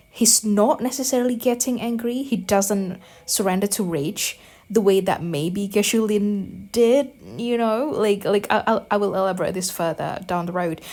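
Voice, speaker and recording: Speaking at a moderate pace with a non-native accent, a woman sounds animated. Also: medium pitch for a woman, ordinary pitch variation. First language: not English. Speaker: gaming youtuber. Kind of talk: casual commentary while rewatching video. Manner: rambling with many fillers and repetitions.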